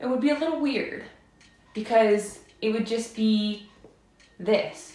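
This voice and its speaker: Speaking at a fairly slow pace, a woman with a fairly high pitch has a dark, mellow, somewhat breathy tone and ordinary pitch variation, with audible room echo. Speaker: live streamer. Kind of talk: casual chat.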